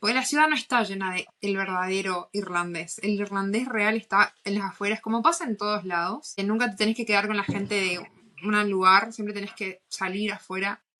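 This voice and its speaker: This woman has a bright, sharp tone at medium pitch. She speaks at a moderate pace. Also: ordinary pitch variation. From northern Argentina, Posadas, Misiones. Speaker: podcast co-host. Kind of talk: casual chat.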